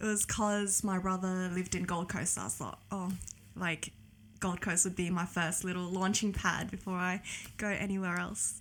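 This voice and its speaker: A medium-pitched woman with an Australian accent, in a monotone, flat intonation. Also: moderate pace. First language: Cantonese. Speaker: podcast guest. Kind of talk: casual interview chat.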